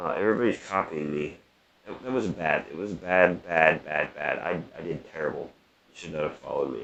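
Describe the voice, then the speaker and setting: A man's very deep, low voice at a fairly quick pace, with ordinary pitch variation and big swings in loudness. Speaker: gaming youtuber. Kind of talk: gameplay tutorial. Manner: animated; fast. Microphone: poor audio, sounds terrible.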